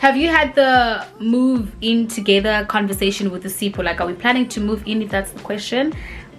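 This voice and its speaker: A woman speaks at a fairly quick pace with hardly any pauses, her pitch fairly high and its variation ordinary. Her loudness swings widely, and there's noticeable background noise. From South Africa, Cape Town. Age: 20s. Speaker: beauty YouTuber. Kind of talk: casual Q&A vlog. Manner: casual, halting with many fillers.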